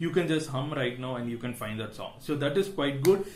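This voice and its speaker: A man with an Indian accent and lively intonation, in audible room echo. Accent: Indian English (Tamil). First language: Tamil. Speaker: tech YouTuber. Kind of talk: tech review vlog. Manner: hesitant, many fillers.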